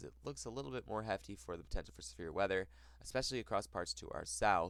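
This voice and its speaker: A man with an American accent at a very fast pace, with vocal fry and very wide pitch swings. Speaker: weather forecaster. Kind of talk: weather forecast talk.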